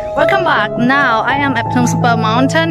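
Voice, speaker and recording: A woman speaks at a moderate pace over loud music in the background. The sound is dry with no echo. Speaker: travel vlogger. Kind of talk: casual vlog chat. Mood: cheerful, excited. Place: forest. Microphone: phone near.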